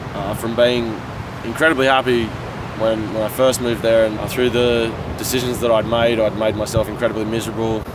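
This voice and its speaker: Over noticeable background noise and audible room echo, a man talks at a fairly quick pace. His voice is fairly low, with an Australian accent. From Australia, rural New South Wales. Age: 20s. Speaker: vlogger. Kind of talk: personal testimony.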